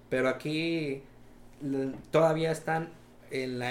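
A man speaks with a fairly high pitch. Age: 20s. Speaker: young entrepreneur, welder. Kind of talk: casual interview chat.

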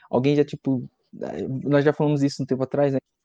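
Dry and close with no echo, a man's fairly high voice carries a dark, mellow tone. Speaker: student interviewer. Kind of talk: live interview. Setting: livestream. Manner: casual, playful.

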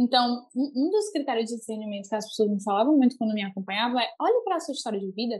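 Somewhat breathy, fairly high female speech full of lively intonation. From Brazil, Fortaleza (Ceará). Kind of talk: casual chat, faith testimony.

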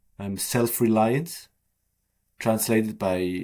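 Speaking very slowly with a non-native accent, a man is heard in a very clean recording against a silent background. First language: not English. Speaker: author. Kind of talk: interview. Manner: hesitant, many fillers.

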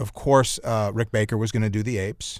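A man with an American accent uses a normal speaking voice and fairly even intonation at a moderate pace. The recording is very clean, with a silent background. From US Midwest, Chicago. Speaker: screenwriter and film director. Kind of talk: interview.

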